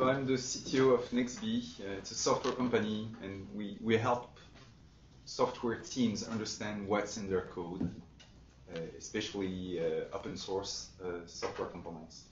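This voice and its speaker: The voice is somewhat breathy, with big swings in loudness and audible room echo. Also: man, fairly low pitch for a man, ordinary pitch variation, fairly slow pace. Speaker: software company executive and open source developer. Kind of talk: webinar presentation.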